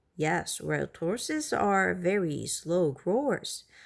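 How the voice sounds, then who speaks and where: Someone uses a put-on character voice, speaking at a very slow pace. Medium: read story. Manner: polite, solemn.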